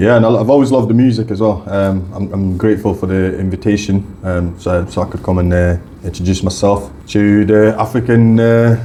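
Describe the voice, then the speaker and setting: A man with a fairly low pitch talks at a fairly quick pace with hardly any pauses and fairly even intonation, amid noticeable background noise. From Scotland, came to UK young from Africa. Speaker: YouTuber and content creator. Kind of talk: radio interview. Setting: radio studio. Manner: halting.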